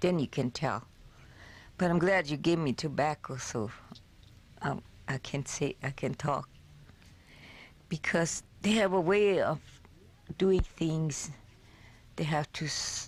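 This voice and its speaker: Speaking very slowly, a woman uses a very deep, low pitch with ordinary pitch variation. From South Dakota, Lakota reservation. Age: 80s+. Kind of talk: oral history interview.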